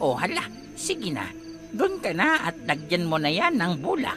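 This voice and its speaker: Over clear background music, a man uses a put-on character voice, high in pitch, at a moderate pace. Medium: read story. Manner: brisk, lightly teasing.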